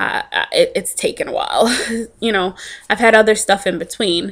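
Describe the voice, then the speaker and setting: A woman at a moderate pace with ordinary pitch variation against a quiet background. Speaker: vlogger sharing a diet journey. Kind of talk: casual vlog chat. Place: home room. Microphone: webcam.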